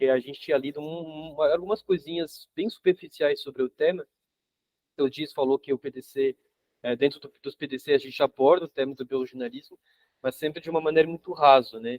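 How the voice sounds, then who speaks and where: Fairly quick and fairly high pitched, a man with a French accent shows ordinary pitch variation and big swings in loudness. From France. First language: French (speaking Portuguese). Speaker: urban geographer, book co-author. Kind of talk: casual talk in study group. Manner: halting, many fillers and repetitions.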